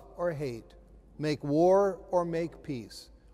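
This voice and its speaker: A man talks very slowly, his tone dark and mellow. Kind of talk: devotional reflection. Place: church.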